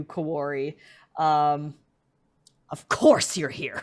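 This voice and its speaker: A put-on character voice at low-to-middle pitch, very slow pace, with hissing on a very clean recording against a silent background. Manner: hissing, hostile.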